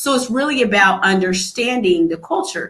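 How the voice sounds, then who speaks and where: Lively intonation runs through a woman's voice. Her pitch is high. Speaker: pediatrician. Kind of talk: panel discussion. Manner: fast.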